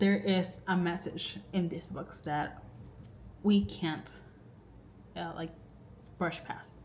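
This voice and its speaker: With audible room echo, a woman speaks very slowly at a fairly low pitch, using lively intonation and long, frequent pauses. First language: not English. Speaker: book vlogger. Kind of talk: casual vlog talk to camera. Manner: rambling, filler-heavy.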